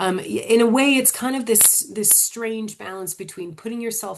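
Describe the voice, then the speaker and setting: Taking a fairly slow pace, a woman talks with an American accent. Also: quiet background. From United States. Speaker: publishing training manager. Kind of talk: webinar Q&A. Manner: hesitant, many fillers.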